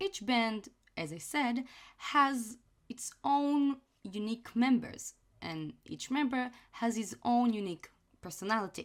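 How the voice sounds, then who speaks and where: A woman with a non-native accent and very wide pitch swings. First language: non-native English speaker. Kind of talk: casual anime review talk.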